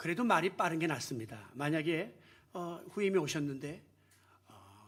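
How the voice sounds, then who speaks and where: A man with a fairly high pitch. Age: 70s. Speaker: retired pastor. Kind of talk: sermon. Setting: church. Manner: fast; halting.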